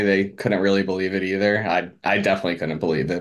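A man with an ordinary speaking voice talks at a fairly quick pace, fairly low in pitch and with fairly even intonation. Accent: American. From Philadelphia area. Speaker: betting contest winner. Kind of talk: interview.

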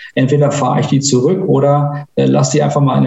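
Somewhat breathy, a man with a fairly high pitch and a dark, mellow tone talks at a very fast pace. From northern Germany, Mecklenburg-Vorpommern. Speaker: IT entrepreneur. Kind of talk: interview.

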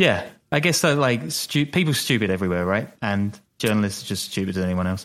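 This man talks at a moderate pace with ordinary pitch variation. His pitch sits fairly low. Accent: British. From Britain. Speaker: podcast co-host and journalist. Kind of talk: casual chat. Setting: video call.

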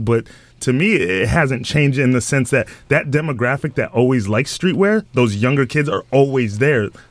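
The man's intonation is lively and his pitch is medium. He keeps a moderate pace. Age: 20s. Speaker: TV host. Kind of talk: casual radio chat. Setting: radio studio.

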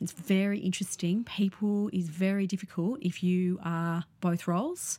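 Speaking in an Australian accent, a woman with a dark, mellow tone talks at a moderate pace and medium pitch with fairly even intonation. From Sydney, western suburbs, Australia. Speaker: artist and public art researcher. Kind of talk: interview. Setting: studio. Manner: hesitant, many fillers.

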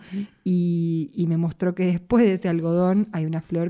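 A woman with a Rioplatense accent speaks in a dark, mellow tone at fairly low pitch with fairly even intonation. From Buenos Aires, Argentina. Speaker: singer-songwriter. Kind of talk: interview.

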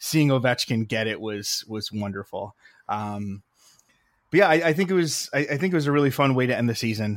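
Using an ordinary speaking voice, a man talks at a moderate pace with ordinary pitch variation. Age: 30s. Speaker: hockey podcast host. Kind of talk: casual chat.

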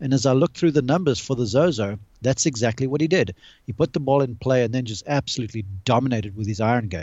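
Very fast delivery with lively intonation. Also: man, medium pitch for a man. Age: 40s. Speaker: golf analyst and college golf coach. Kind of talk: casual chat. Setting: video call.

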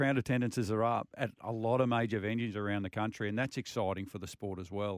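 Speaking at a very fast pace with hardly any pauses, a man with an Australian accent keeps a fairly low pitch and fairly even intonation. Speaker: motorsport radio co-host. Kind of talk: radio show chat. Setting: radio studio.

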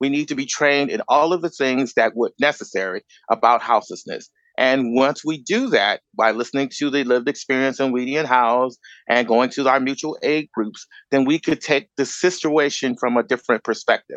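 With an American accent, a man in a normal speaking voice talks at a fairly quick pace and medium pitch, the sound dry and close with no echo over a quiet background. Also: ordinary pitch variation. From US Midwest, Chicago. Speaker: educator and homelessness advocate. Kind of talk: panel discussion.

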